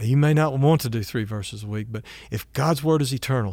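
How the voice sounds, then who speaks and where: An unremarkable speaking voice with lively intonation, in an American accent, on a very clean recording with a silent background. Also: man. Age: 60s. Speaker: pastor. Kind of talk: sermon.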